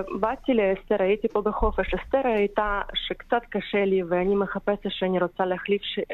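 Her medium-pitched voice holds very even loudness as the woman speaks with fairly even intonation. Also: moderate pace, hardly any pauses. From Ukraine. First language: Ukrainian or Russian (speaking Hebrew). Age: 30s. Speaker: caregiver for Holocaust survivors. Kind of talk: radio interview. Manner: halting non-native Hebrew.

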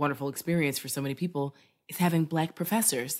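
A woman's very deep, low voice at a very fast pace. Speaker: quiz show host and politics professor. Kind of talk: casual trivia game show interview.

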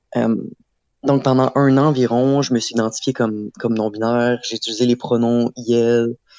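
The voice has a dark, mellow tone and monotone, flat intonation, moving at a fairly slow pace in a dry, close sound with no echo and a quiet background. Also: man. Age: 20s. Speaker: art student. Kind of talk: interview.

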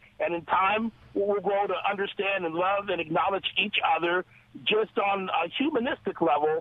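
Over noticeable background noise, a man with an American accent speaks at a high pitch and moderate pace, his loudness very even and his pitch variation ordinary. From Los Angeles. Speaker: caller. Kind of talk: call-in comment. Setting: phone call.

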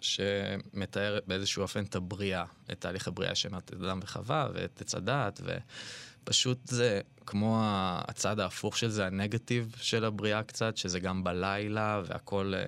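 In a very clean recording with a silent background, a man with a normal speaking voice and fairly low pitch talks at a fairly slow pace with fairly even intonation. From Israel, Ra'anana. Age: 30s. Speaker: artist. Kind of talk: interview conversation. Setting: studio.

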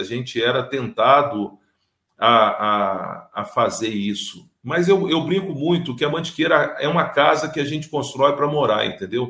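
A plain, everyday voice speaks at a fairly slow pace with lively intonation. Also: man. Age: 50s. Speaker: business owner. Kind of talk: interview.

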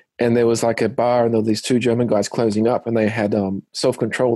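Very fast and flat in a monotone, a man speaks at a medium pitch with a dark, mellow tone. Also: very even loudness. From Australia. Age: 30s. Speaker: singer and musician. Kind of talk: interview. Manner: hesitant, many fillers.

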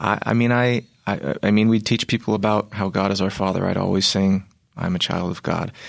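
Against a quiet background, a man with an American accent uses an ordinary speaking voice, fairly low in pitch with ordinary pitch variation, at a fairly quick pace. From Virginia, US. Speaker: classical tenor singer. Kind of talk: interview.

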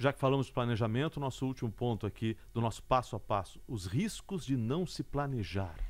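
At a fairly quick pace, a man with a medium pitch and an ordinary speaking voice talks with lively intonation. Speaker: podcast host and journalist. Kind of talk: interview.

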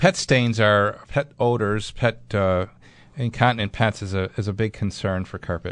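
With an American accent, a man talks at a moderate pace in an unremarkable speaking voice. His pitch is fairly low with ordinary variation, over a quiet background. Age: 60s. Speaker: radio host and building contractor. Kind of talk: call-in radio show. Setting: studio.

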